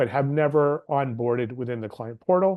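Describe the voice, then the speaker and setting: A man's ordinary speaking voice, medium in pitch, with ordinary pitch variation and a fairly quick pace. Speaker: legal aid staff presenter. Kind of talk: webinar presentation.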